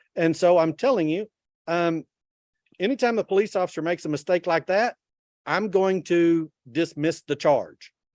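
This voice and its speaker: Here is a man in a Texan accent, high in pitch with ordinary variation. He leaves long, frequent pauses, and the sound is dry and close with no echo. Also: moderate pace. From Texas. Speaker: judge. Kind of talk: court hearing. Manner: casual.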